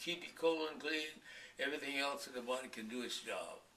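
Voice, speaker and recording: A man with a fairly high pitch speaks at a fairly quick pace with lively intonation. Room echo is audible. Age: 80s+. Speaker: longevity author. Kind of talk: interview.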